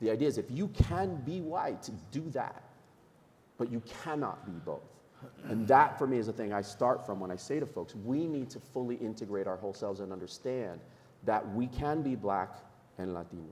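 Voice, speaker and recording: A man with an American accent talks at a moderate pace and a medium pitch. His intonation is lively, in an unremarkable speaking voice. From New York. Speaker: nonprofit leader, panelist. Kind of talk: panel discussion.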